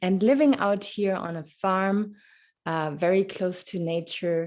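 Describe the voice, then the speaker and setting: A woman with a fairly low pitch speaks at a very slow pace. She has a slight German accent. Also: quiet background. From Germany. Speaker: podcast host. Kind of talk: interview. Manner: halting.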